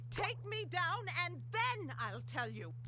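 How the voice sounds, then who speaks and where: Someone uses a put-on character voice at a fairly slow pace. Loud background noise runs underneath. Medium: machinima. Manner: shifts from wheedling to shrieking abuse.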